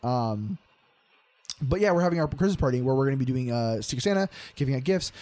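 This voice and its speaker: Very fast and full of lively intonation, a man speaks in an upbeat, animated tone broken by long, frequent pauses. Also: medium pitch for a man. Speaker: podcast host and aspiring voice actor. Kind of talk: casual chat. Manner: upbeat, peppy, outbursting, animated; explosive personality.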